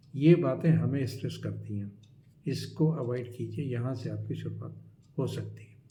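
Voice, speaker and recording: In a room with audible echo, a man speaks with big swings in loudness. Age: 60s. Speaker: life advice YouTuber. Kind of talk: advice talk to camera. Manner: conversational, with hesitations.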